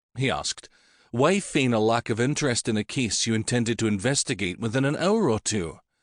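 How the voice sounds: Someone reads in a natural voice, the pitch varying in an ordinary way.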